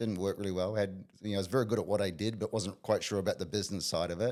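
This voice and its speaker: On a very clean recording with a silent background, a man talks at a very fast pace. His pitch is fairly low and his intonation fairly even. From New Zealand, small town. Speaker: business coach. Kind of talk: interview.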